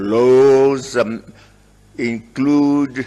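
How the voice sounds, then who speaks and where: Ordinary pitch variation in a man's voice of medium pitch. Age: 80s+. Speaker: head of state. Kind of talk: formal speech to parliament.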